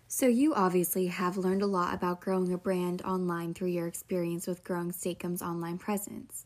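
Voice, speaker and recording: A woman's plain, everyday voice at a medium pitch and moderate pace on a very clean recording with a silent background. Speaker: podcast host. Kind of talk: interview chat.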